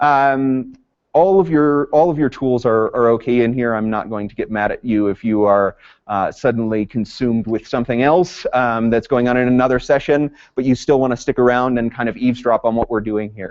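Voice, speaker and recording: A man at medium pitch, fairly quick, with ordinary pitch variation. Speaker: conference presenter, district professional learning lead. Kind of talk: conference workshop presentation. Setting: conference room with live audience. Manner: loud; teacher voice.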